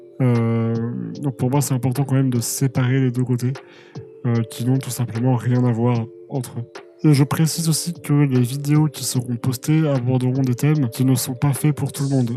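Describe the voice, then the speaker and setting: Delivered at a moderate pace with monotone, flat intonation, the speech comes through noticeable background noise. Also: man. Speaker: musician and video creator. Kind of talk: channel announcement monologue. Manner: hesitant, many fillers.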